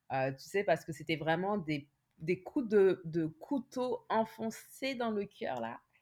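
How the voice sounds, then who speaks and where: A woman at medium pitch, with very wide pitch swings and a very slow pace. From France. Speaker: nurse and patient advocate. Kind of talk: interview testimony.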